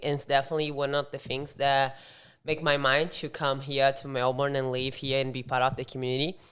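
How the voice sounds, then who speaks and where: Someone speaks with a Brazilian accent on a very clean recording with a silent background. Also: woman. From southern Brazil. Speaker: CrossFit coach. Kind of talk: podcast interview. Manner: halting, self-correcting.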